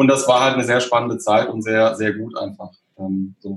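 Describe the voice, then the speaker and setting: A man is speaking. His voice is somewhat breathy. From southern Germany, Stuttgart area. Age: 30s. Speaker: software developer. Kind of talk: casual interview. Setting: home office.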